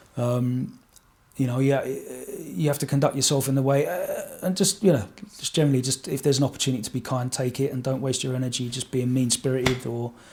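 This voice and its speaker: Speaking at a fairly quick pace with an Essex accent, a man uses a medium pitch with ordinary pitch variation. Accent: Essex accent, never changed. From Essex, England. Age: 40s. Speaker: radio DJ. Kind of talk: podcast interview. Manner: halting, many fillers and repeats.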